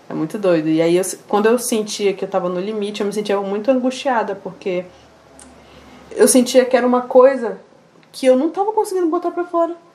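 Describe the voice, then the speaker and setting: A woman with a fairly high pitch talks in very wide pitch swings, with long, frequent pauses and noticeable background noise. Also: fairly quick pace. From Amazonas, Brazil. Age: 20s. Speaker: singer. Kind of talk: interview.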